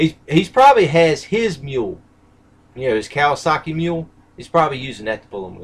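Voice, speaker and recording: Somewhat breathy speech with very wide pitch swings is broken up by long, frequent pauses. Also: man. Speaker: live streamer. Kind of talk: casual chat.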